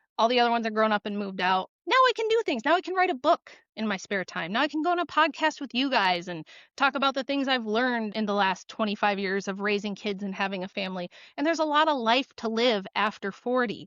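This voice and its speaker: A woman talks at a very fast pace with lively intonation. Her pitch is fairly high. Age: 40s. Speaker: author and guest. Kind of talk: podcast interview. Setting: podcast. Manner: talkative.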